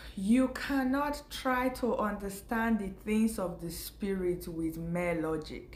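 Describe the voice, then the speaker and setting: Speaking very slowly with hardly any pauses, a woman's somewhat breathy, medium-pitched voice moves with lively intonation. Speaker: faith vlogger. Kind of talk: casual spiritual talk to camera.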